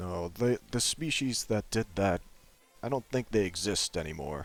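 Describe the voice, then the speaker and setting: A man puts on a character voice, pitched fairly low. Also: moderate pace. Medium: machinima. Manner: terse, slow, laconic.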